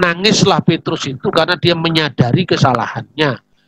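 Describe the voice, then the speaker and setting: A man's fairly high-pitched voice with a strong Javanese accent, at a moderate pace, dry and close with no echo. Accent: strong Javanese accent in Indonesian. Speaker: theologian. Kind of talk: religious teaching talk. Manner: conversational, with fillers.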